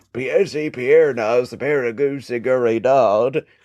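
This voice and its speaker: Speaking very slowly, a man performs a put-on character voice. His pitch sits at a medium level. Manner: cartoonish put-on voice.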